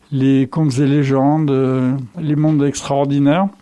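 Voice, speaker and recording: The speaker is a man with fairly high pitch. His tone is dark and mellow, and his pace moderate. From eastern France (Vosges). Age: 70s. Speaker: toy shop owner. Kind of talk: interview, personal life story. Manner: hesitant, many filler sounds.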